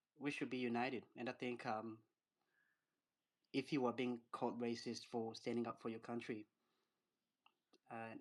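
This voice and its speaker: Speaking at a moderate pace with long, frequent pauses, a man uses a medium pitch and a monotone, flat intonation. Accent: African. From Africa. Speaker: caller, African migrant. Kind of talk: casual discussion in group voice chat.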